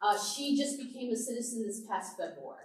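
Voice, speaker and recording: Fairly quick, lively intonation with audible room echo. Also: woman. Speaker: pastor. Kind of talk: church presentation to adult class.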